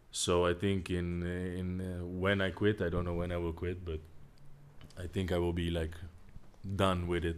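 A man speaks at a moderate pace in a very deep, low voice with monotone, flat intonation. Audible echo fills the room. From Netherlands. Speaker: professional volleyball player. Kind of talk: casual interview. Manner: halting.

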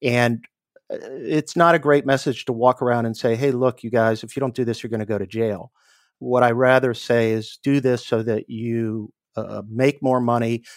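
In a plain, everyday voice with an American accent, a man speaks at a moderate pace and medium pitch, with a dry, close sound with no echo on a very clean recording with a silent background. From US East Coast, Washington DC area. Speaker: attorney. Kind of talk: interview.

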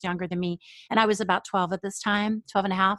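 A woman with an American accent, medium pitch, a bright, sharp tone and fairly even intonation, in a dry, close sound with no echo against a quiet background. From New York. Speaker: writer and podcast host. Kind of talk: interview.

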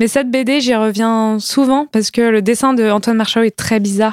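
Here a woman speaks at a moderate pace with a fairly high pitch. Her intonation is monotone and flat. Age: 20s. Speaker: comic book author. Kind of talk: casual chat.

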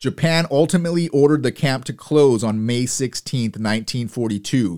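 A man with an ordinary speaking voice talks at a moderate pace and medium pitch, with lively intonation. The recording is very clean, with a silent background. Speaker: podcast host and military history narrator. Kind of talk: history documentary narration. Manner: solemn, measured, even-paced; formal, factual, sombre.

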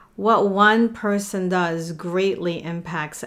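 With a non-native accent, a woman speaks at medium pitch using fairly even intonation. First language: not English. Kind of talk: casual chat.

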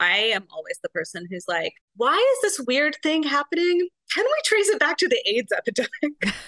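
A woman with a high pitch projects a raised voice, her pitch swinging very widely at a moderate pace. Her tone is bright and sharp, and the sound is dry and close with no echo. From Arizona. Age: 40s. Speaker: romance novelist. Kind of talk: casual chat.

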